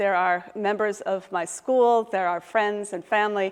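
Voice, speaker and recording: A woman with an American accent has an ordinary speaking voice at a medium pitch, her intonation fairly even. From US Midwest, Michigan. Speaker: professor, historian. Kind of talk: lecture. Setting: lecture hall with audience, also streamed online.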